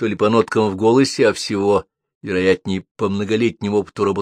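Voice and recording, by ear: Someone reads aloud in a natural voice, their intonation fairly even, with a quiet background.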